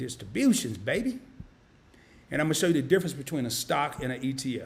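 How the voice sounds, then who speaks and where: Talking at a fairly quick pace with a Southern US accent, this voice swings very widely in pitch. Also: man. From US South, Arkansas. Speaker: finance YouTuber. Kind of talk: live-stream tutorial. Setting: home studio live stream. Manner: casual, animated.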